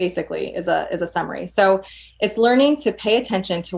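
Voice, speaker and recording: This woman's voice is somewhat breathy and sits at a medium pitch. She talks at a fairly quick pace with lively intonation. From New York. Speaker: clinical psychologist. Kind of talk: casual interview.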